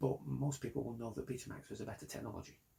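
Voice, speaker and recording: A man talks at a very fast pace in a dark, mellow tone with vocal fry. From Britain. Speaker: car designer and company founder. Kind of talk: investor pitch monologue.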